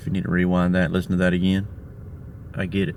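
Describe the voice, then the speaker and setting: A man with a very deep, low voice talks at a very fast pace, with audible room echo. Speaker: hunting video host. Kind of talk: hunting vlog narration. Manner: monotone.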